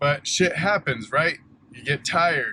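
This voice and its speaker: Loud, with a bright, sharp tone, the voice moves at a fairly slow pace. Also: man. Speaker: junk removal business owner. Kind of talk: vlog monologue. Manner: halting, repeats words.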